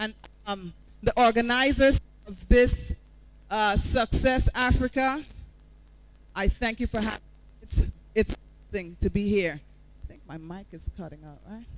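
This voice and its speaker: With a Guyanese accent, a woman speaks at a moderate pace in a medium pitch, with ordinary pitch variation, big swings in loudness and long, frequent pauses. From Guyana, Georgetown. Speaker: motivational speaker. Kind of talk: motivational talk. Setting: stage with audience. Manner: animated. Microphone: mic cutting out.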